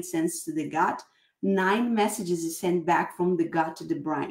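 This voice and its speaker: A woman speaks with a non-native accent at a medium pitch. Her intonation is lively. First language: not English. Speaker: podcast host and coach. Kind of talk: interview.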